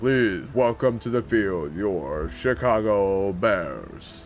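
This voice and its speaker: A man uses a put-on character voice, fairly low in pitch and very slow. Clear background noise can be heard. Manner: booming, dramatic.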